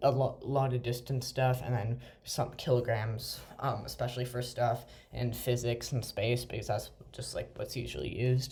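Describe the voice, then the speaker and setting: A man speaks at medium pitch with a dark, mellow tone and vocal fry. His intonation stays fairly even. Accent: American. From United States. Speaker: gaming video creator. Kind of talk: gameplay commentary. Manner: hesitant, many fillers.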